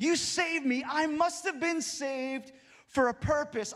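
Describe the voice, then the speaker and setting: A man talks in an animated tone at an extremely high pitch. His pitch variation is ordinary. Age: 30s. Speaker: pastor. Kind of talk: sermon. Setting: church.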